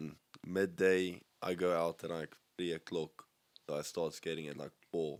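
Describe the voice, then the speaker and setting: With a South African accent, a man talks at a moderate pace in a very deep, low pitch and monotone, flat intonation, leaving long, frequent pauses. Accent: Afrikaans South African English. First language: Afrikaans. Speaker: skateboarder. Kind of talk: casual chat.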